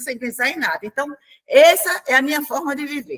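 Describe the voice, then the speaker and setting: A woman talks at a moderate pace in a high, bright, sharp voice with ordinary pitch variation. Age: 70s. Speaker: retired public servant, retirees' representative. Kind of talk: panel discussion. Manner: conversational.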